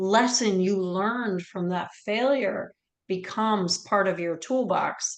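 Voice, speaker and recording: Intonation stays fairly even. It is a normal speaking voice. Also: woman. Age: 50s. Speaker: webinar host. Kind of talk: webinar interview.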